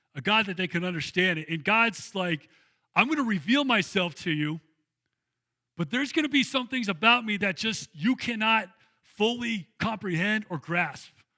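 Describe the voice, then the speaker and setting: A man projects a raised, high-pitched voice with a bright, sharp tone. His intonation is lively and his pace moderate. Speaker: pastor. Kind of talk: sermon. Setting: church. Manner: conversational, casual.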